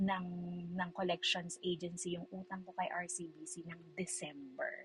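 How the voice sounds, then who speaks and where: The speaker is a woman with a medium pitch. Her voice is somewhat breathy. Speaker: vlogger. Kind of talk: casual chat. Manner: animated.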